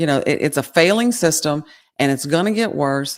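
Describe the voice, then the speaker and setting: On a very clean recording with a silent background, a woman with a Southern Louisiana accent speaks very fast in a very deep, low pitch. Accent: Southern Louisiana twang. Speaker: podcast co-host. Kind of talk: casual chat; reading aloud.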